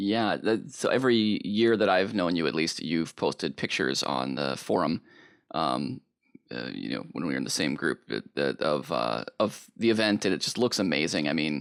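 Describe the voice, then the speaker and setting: A man with a very deep, low pitch talks at a moderate pace, his voice swinging very widely and showing vocal fry. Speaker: podcast host. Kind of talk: podcast interview.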